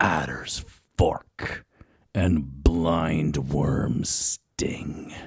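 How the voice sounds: Putting on a character voice, a man speaks at a very slow pace with an extremely low pitch, fairly even intonation and a husky, rough edge.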